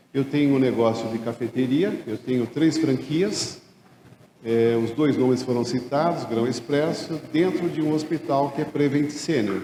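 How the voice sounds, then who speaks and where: Audible room echo surrounds a man speaking at a fairly slow pace with a fairly high pitch. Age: 60s. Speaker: retired accountant turned café franchise owner. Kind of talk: conference talk.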